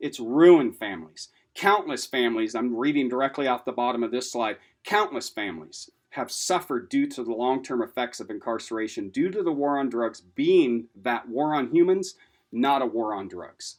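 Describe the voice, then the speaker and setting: In an unremarkable speaking voice with an American accent, a man speaks at a moderate pace and a medium pitch with lively intonation, on a very clean recording with a silent background. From Washington State, US Pacific Northwest. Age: 50s. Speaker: lecturer on substance use disorder, person in recovery. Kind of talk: lecture. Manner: casual, conversational with fillers.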